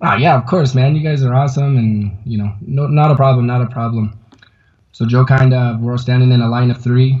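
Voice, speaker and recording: His speech moves along fairly quickly. The man's voice has a somewhat breathy quality. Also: medium pitch for a man, fairly even intonation. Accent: American. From Colorado. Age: 30s. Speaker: climber and backcountry skier. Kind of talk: interview testimony. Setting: video call from a yoga studio. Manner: halting, many fillers. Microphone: unstable internet connection; inside a fort of yoga mats against echo.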